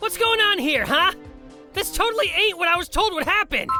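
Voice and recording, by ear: A woman does a cartoonish character voice, extremely high in pitch, with a bright, sharp tone and lively intonation. She keeps a moderate pace while faint music plays in the background.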